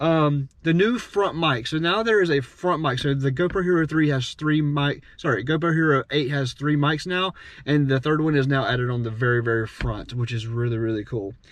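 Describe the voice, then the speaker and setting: The pitch varies in an ordinary way. There are hardly any pauses. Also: man, fairly high pitch for a man. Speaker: drummer and gear reviewer. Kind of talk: product review. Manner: fast; casual, many fillers.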